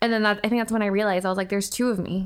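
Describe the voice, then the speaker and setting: A woman in a monotone, flat intonation on a very clean recording with a silent background. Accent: American. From US West Coast, Orange County, California. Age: 20s. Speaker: fashion blogger and YouTuber. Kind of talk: casual chat. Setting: at the host's home. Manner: extroverted.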